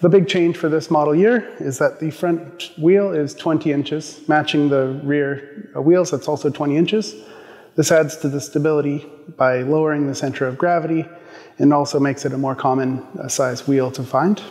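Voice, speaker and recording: At a moderate pace, a man speaks with ordinary pitch variation over a quiet background. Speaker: presenter. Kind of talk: product overview presentation. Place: studio.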